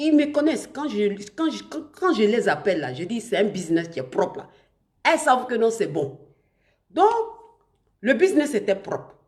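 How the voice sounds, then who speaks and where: A woman with a fairly high voice swings her pitch very widely and shows vocal fry. Her loudness shifts sharply, and she takes long, frequent pauses. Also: moderate pace. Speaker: online influencer / live streamer. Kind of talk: live stream talk to viewers. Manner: halting, many restarts.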